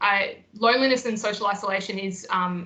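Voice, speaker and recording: A woman speaks at a medium pitch against noticeable background noise. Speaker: mental health nurse and educator. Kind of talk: webinar presentation. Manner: fast.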